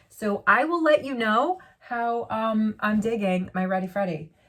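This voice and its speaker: An animated woman's voice, fairly high in pitch, against noticeable background noise. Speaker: beauty vlogger. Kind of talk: unboxing vlog.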